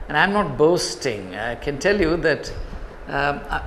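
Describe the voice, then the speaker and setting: Amid noticeable background noise and audible room echo, a man talks at a moderate pace with ordinary pitch variation. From India, Kerala. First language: Malayalam. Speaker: professor. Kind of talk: motivational talk to students.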